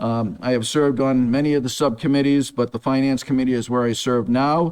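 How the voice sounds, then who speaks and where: In an American accent, a man talks with an ordinary speaking voice at a fairly quick pace, with fairly even intonation and very even loudness. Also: medium pitch for a man. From Massachusetts. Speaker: city council candidate. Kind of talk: debate opening statement. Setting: stage with audience.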